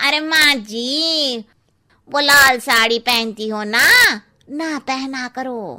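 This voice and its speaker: A woman's cartoonish character voice, high-pitched with ordinary pitch variation, at a very slow pace. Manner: blunt.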